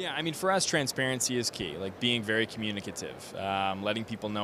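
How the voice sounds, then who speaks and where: Over noticeable background noise, a man with an American accent talks at a very fast pace in a bright, sharp tone. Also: dry sound with no echo. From Bakersfield, California; California. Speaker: clothing brand co-founder; guest. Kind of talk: interview. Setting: live at a trade event. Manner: casual with frequent fillers. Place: hall. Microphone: handheld.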